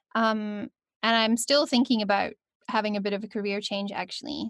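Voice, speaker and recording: In a Scottish accent, a woman with a fairly high pitch talks at a fairly quick pace with fairly even intonation, recorded very cleanly against a silent background with a dry, close sound and no echo. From Scotland. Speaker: voice actor. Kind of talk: podcast interview answer.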